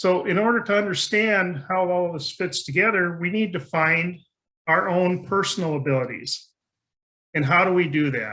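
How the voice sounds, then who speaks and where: Here a man speaks at a moderate pace with a high pitch, a bright, sharp tone, and ordinary pitch variation. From rural area. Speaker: conference speaker. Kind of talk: conference talk.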